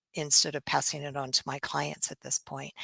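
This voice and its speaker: On a very clean recording with a silent background and a dry, close sound with no echo, a woman with an American accent speaks in a bright, sharp tone with vocal fry. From southwest Missouri, Bolivar. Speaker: business owner, nurse. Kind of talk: interview.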